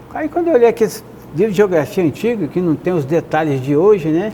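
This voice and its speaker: A high-pitched man at a fairly quick pace with lively intonation and noticeable background noise. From Volta Redonda, Rio de Janeiro state, Brazil. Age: 70s. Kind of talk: testimony interview. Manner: halting, with false starts.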